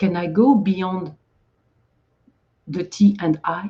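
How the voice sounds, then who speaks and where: Somewhat breathy, a woman speaks at a medium pitch with a French accent. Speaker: Zen speaker giving a talk. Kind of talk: dharma talk. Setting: livestream video. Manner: halting.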